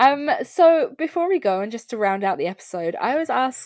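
A woman speaks at a moderate pace in a high voice over a quiet background. Her pitch swings very widely. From Ireland. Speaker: podcast host. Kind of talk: casual podcast chat.

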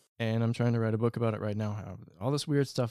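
Dark and mellow in tone, a man speaks at a medium pitch with ordinary variation and an American accent. The recording is very clean, the background silent. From East Texas. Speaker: treasure hunter and documentary filmmaker. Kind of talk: podcast interview, casual chat.

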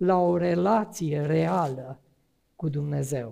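A man's voice carries a dark, mellow tone. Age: 50s. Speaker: preacher. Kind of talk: sermon.

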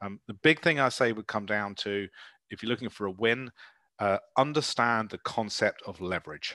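A man at medium pitch speaks at a moderate pace with a bright, sharp tone and big swings in loudness, his dry, close sound carrying no echo on a very clean recording with a silent background. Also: ordinary pitch variation. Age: 50s. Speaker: property finance business owner. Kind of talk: interview. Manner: direct.

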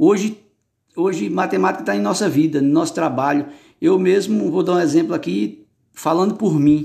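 Recorded very cleanly against a silent background, a man with a high pitch and a dark, mellow tone talks at a moderate pace. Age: 40s. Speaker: former bricklayer's helper. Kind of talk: interview answers. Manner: halting, many repetitions.

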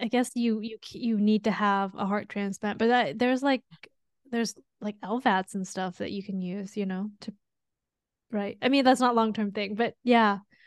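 A woman with a normal speaking voice, fairly high in pitch, fairly even in intonation, with big swings in loudness, in a dry, close sound with no echo against a quiet background. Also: moderate pace. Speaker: pharmacist podcast host. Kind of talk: casual chat.

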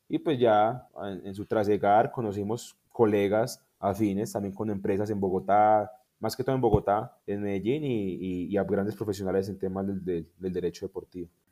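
A man speaks at a moderate pace with a fairly low pitch, a dark, mellow tone, ordinary pitch variation and hardly any pauses, on a very clean recording with a silent background. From Colombia, Tolima. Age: young. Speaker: sports lawyer and government official. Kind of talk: interview.

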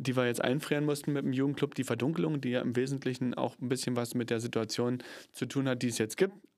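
A man speaks in a normal speaking voice at a medium pitch with fairly even intonation. The recording is very clean, with a silent background. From Germany, Cottbus (Brandenburg). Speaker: actor and theatre PR manager. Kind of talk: casual chat.

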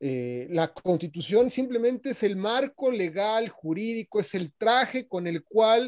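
A man with a Mexican accent talks at a fairly slow pace with very wide pitch swings. The recording is very clean and silent in the background, dry and close with no echo. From Mexico. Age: 40s. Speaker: leadership academy founder. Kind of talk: radio interview.

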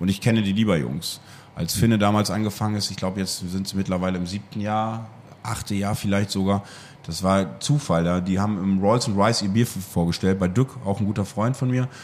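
In a very clean recording with a silent background, a man talks at a fairly quick pace in a normal speaking voice, fairly low in pitch with ordinary pitch variation. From East Frisia, northern Germany. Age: 30s. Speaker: wine bar owner. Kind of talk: interview. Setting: in his wine bar.

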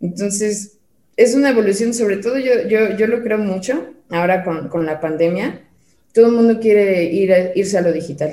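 Heard with audible room echo, a woman talks at a moderate pace and medium pitch, her tone dark and mellow, with ordinary pitch variation. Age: 30s. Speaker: digital marketing specialist. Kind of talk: casual interview chat.

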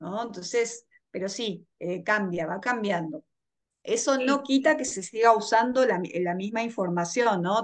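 Against a quiet background, a woman with a Rioplatense accent talks at a moderate pace. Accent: Argentine Rioplatense Spanish. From Argentina. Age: 40s. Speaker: astrologer and tarot reader. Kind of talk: interview. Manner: halting.

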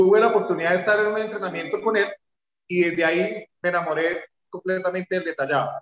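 Speaking at a very fast pace and a high pitch, a man keeps a fairly even intonation in a dry, close sound with no echo. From Colombia, Bucaramanga. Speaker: car detailing business owner. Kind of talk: interview.

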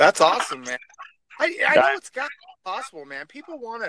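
Speaking in a raised, projected voice with an American accent, this speaker moves at a fairly quick pace through very wide pitch swings. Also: man. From Oregon, US. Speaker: truck driver.

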